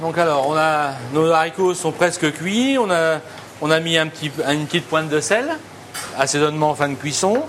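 The pace is moderate, with ordinary pitch variation and very even loudness. Noticeable background noise runs underneath. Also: man, fairly high pitch for a man. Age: 50s. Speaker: chef. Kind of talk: casual cooking demonstration and interview. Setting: market, then restaurant kitchen. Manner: halting, many repetitions and hesitations.

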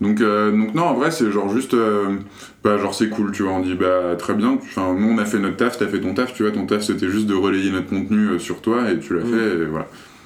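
Audible room echo surrounds a man speaking at a fairly quick pace, his pitch fairly low with ordinary pitch variation. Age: 20s. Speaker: media co-founder. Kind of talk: casual interview.

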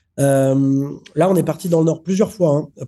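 Dark and mellow in tone, a man's voice sits fairly high with ordinary pitch variation. He keeps a moderate pace over a quiet background. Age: 30s. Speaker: film director. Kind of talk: interview.

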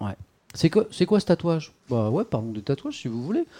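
Recorded very clean against a silent background, with a dry, close sound and no echo, a man speaks in a dark, mellow tone. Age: 40s. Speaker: streamer and interviewer. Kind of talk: live-stream interview. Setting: home live stream with webcam.

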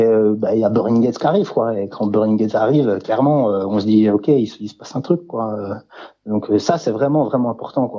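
Moderate pace and ordinary pitch variation in a man's plain, everyday voice at medium pitch. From France, mountain village near Swiss border. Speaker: author. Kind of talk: interview.

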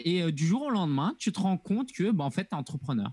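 A man speaks at a high pitch with very wide pitch swings. The sound is dry and close, with no echo. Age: 30s. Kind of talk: interview conversation.

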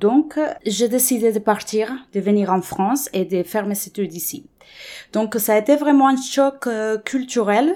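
Speaking with a Spanish accent, a woman has a dark, mellow tone and a fairly high pitch, talking at a fairly slow pace. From Colombia. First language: Spanish (speaking French). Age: 30s. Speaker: interviewee. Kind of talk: personal testimony. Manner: halting, many repetitions.

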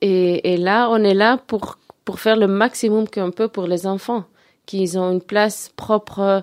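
A woman speaks very slowly at a medium pitch with fairly even intonation. The recording is very clean, with a silent background. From Belgium (Antwerp). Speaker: youth movement committee member. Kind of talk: radio interview. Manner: halting, repetitive.

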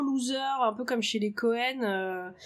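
With ordinary pitch variation, a woman talks in a high voice. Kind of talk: casual interview.

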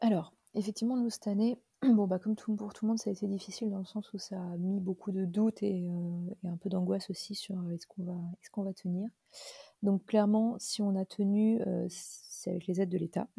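Dry and close with no echo, the voice is dark and mellow, somewhat breathy, and flat in a monotone. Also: woman, medium pitch for a woman, fairly quick pace. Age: 30s. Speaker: vintage clothing shop founder. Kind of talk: interview. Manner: hesitant, many fillers.

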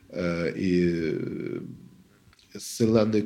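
In a dark, mellow tone, a man talks with a non-native accent. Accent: foreign accent in French. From Soviet Union. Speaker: academic and literary scholar. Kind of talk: interview. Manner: halting, many hesitations.

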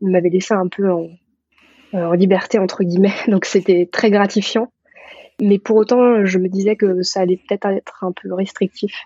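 A woman talks at medium pitch. Her intonation is monotone and flat. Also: moderate pace. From rural France. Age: 30s. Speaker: physician. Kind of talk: interview. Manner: halting, many hesitations.

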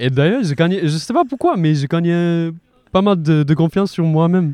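Speaking at a fairly slow pace, a man with a high pitch and a dark, mellow tone uses lively intonation and very even loudness. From China. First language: Mandarin Chinese (speaking French). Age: 20s. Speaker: student. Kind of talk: casual interview. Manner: halting, frequent repetitions.

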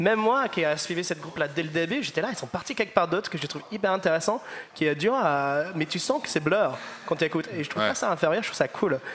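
A man's high-pitched, very fast speech with lively intonation and an English accent, over noticeable background noise. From northern England, Liverpool. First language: English (speaking French). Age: 20s. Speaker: musician. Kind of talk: panel discussion. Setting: live audience recording.

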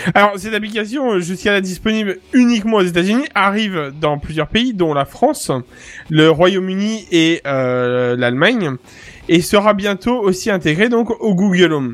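Speaking at a moderate pace, a man uses a high pitch with lively intonation. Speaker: podcast co-host. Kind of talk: casual tech podcast chat.

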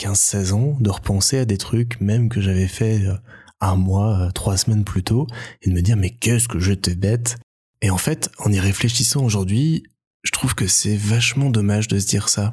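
On a very clean recording with a silent background, a man with a fairly low, somewhat breathy voice speaks at a fairly slow pace with ordinary pitch variation, very even loudness and long, frequent pauses. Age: 20s. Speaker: podcaster. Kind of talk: interview; podcast excerpt, introspective monologue.

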